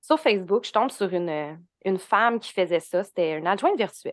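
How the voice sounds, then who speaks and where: A woman talks with a Quebec accent at a medium pitch. The background is quiet. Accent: Québécois French. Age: 20s. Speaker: human design and astrology coach, entrepreneur. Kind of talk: casual interview.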